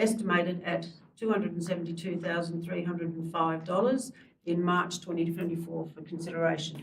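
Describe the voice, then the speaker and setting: Fairly quick delivery in an Australian accent. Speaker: mayor chairing council meeting. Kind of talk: formal meeting chairing, reading motions.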